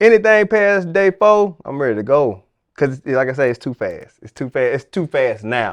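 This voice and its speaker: With a Southern accent, a man talks at a moderate pace and fairly high pitch, his voice showing very wide pitch swings and big swings in loudness, in a dry, close sound with no echo. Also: quiet background. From Chicago South Side and Arkansas. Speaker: podcast host. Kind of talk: casual chat.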